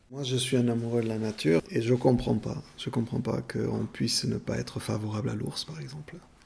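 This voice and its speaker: Over noticeable background noise, a man with a medium pitch talks at a fairly quick pace with hardly any pauses and lively intonation. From Béarn, southwest France. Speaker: podcast interviewee. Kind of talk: testimony. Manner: halting, many fillers.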